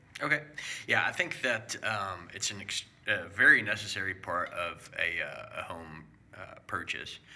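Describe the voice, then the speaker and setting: Noticeable background noise accompanies the recording. Over it, a man talks at a fairly slow speed. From South America. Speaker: home inspector. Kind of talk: casual chat.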